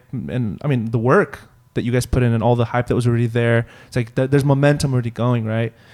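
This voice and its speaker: The recording is very clean, with a silent background. A man speaks fairly quickly in an unremarkable speaking voice, medium in pitch, with fairly even intonation. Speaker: podcast host. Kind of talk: casual interview chat.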